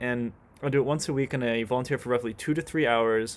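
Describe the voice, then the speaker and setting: A man's voice at medium pitch with ordinary pitch variation. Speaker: vlogger. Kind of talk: casual monologue. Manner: fast; halting, repeats words.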